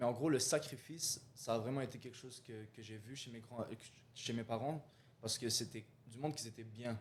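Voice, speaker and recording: A man speaks at a fairly quick pace in a somewhat breathy, medium-pitched voice, his loudness swinging widely while his intonation stays fairly even. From Algeria, moved to Quebec at about 9. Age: 20s. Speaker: real estate investor. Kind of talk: interview conversation. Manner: halting, many fillers.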